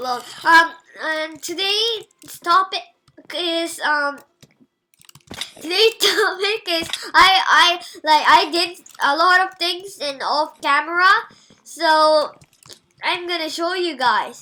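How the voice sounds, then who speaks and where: A woman speaks in a raised, projected voice at an extremely high pitch, with ordinary pitch variation, at a very slow pace with long, frequent pauses. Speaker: gamer YouTuber. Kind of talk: gameplay commentary. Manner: halting.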